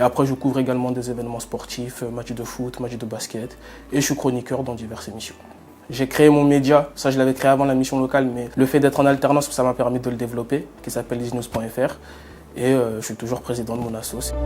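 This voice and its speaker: At a fairly quick pace, a man speaks with a medium pitch and monotone, flat intonation. His loudness swings widely. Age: 20s. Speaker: journalism student. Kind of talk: testimony.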